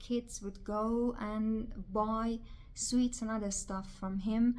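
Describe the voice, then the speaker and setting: Over noticeable background noise, a woman speaks in a flat monotone at a fairly high pitch. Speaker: video blogger. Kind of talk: personal vlog monologue. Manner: halting.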